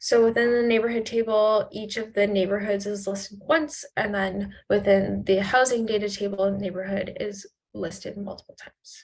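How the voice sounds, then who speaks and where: A plain, everyday voice: a woman of medium pitch speaks at a moderate pace with fairly even intonation and hardly any pauses. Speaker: cloud consultant leading a workshop. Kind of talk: software tutorial workshop. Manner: casual.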